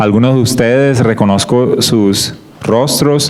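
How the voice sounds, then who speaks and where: The speaker has a Colombian coastal accent and ordinary pitch variation, with noticeable background noise and audible room echo. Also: man. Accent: Colombian coastal (costeño). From Colombian Caribbean coast, Barranquilla. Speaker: guest preacher, creation science ministry worker. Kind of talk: sermon / Bible study talk.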